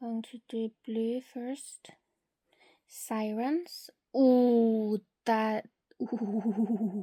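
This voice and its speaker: A woman with a non-native accent speaks very slowly, leaving long, frequent pauses, her fairly high voice somewhat breathy with fairly even intonation. The tone is dark and mellow, and the sound is dry and close with no echo. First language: not English. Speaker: beauty content creator. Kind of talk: product swatching tutorial.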